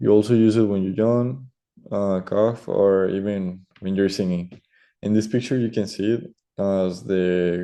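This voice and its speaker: A man's fairly low, dark, mellow voice with a Spanish accent, fairly even intonation, and a quiet background. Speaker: student. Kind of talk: class presentation. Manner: hesitant, many fillers.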